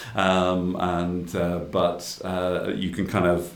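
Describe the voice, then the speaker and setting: Monotone, flat intonation in an Irish accent, with audible room echo. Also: man. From Ireland. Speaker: innovation executive in paper industry. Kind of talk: interview.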